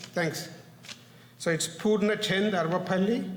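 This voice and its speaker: With a non-native accent, a man speaks in fairly even intonation, with audible room echo and noticeable background noise. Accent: foreign. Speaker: parent giving public comment. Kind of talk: public comment at board meeting. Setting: public meeting, at podium. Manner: halting, with self-corrections.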